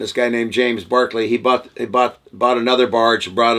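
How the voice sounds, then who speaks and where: Fairly quick speech from a man, medium-pitched with a bright, sharp tone. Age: 60s. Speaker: gold miner. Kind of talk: interview. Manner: halting, many fillers.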